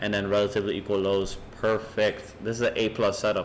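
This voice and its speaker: At a fairly quick pace, a man talks in a monotone, flat intonation with a fairly low pitch. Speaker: trading educator. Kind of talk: tutorial. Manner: fast.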